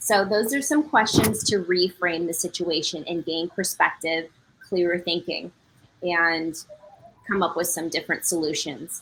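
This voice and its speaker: A woman's fairly low-pitched, normal speaking voice at a fairly slow pace, with ordinary pitch variation. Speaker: presenter on stress management. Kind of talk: presentation.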